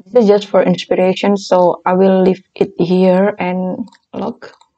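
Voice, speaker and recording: A woman with a non-native accent talks very slowly in a dark, mellow tone. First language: not English. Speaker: design tutorial creator. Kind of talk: tutorial.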